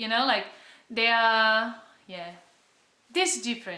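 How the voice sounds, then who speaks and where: In a Brazilian Portuguese accent, a woman speaks at a fairly slow pace with a fairly high pitch and a bright, sharp tone, and audible room echo surrounds her. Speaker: travel vlogger. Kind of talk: casual vlog talk. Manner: halting.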